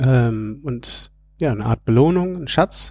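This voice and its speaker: Dark and mellow in tone, a man's voice sits at medium pitch with ordinary pitch variation. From Berlin, Germany (bilingual, English parents). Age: 30s. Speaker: outdoor educator and family project founder. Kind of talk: interview.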